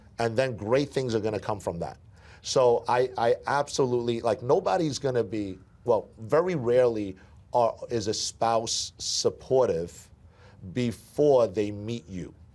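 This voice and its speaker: A man with an American accent speaks at a medium pitch with ordinary pitch variation and a dark, mellow tone. His fairly slow delivery comes on a very clean recording with a silent background. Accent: Brooklyn accent, comes out at times. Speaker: sales team leader. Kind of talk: training interview. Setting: office event with audience. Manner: repetitive, stammering restarts.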